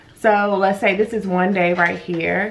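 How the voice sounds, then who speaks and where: A woman speaks quietly with fairly even intonation. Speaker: vlogger. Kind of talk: casual vlog. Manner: quiet, lowered voice.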